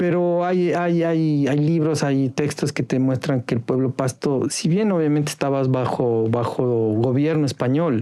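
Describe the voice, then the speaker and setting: Speaking at a fairly slow pace with hardly any pauses, a man uses a dark, mellow tone with fairly high pitch, ordinary pitch variation and very even loudness. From Ecuador, Carchi province. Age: 40s. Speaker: former newspaper editor. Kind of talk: podcast interview.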